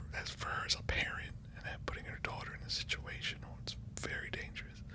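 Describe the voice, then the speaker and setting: A man whispering at a very fast pace, with noticeable background noise. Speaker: ASMR creator. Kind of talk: ASMR whisper ramble. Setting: in bed, close mic. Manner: whispered.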